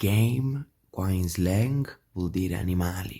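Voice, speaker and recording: A man with a very deep, low pitch and a dark, mellow tone speaks at a fairly slow pace, his voice somewhat breathy. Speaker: travel vlogger. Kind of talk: casual vlog talk to camera. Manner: hesitant, many fillers.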